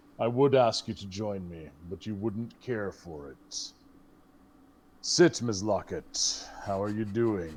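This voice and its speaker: In a put-on character voice, a man speaks fairly slowly at a fairly low pitch on a very clean recording with a silent background. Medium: actual play. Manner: languid, refined, condescending.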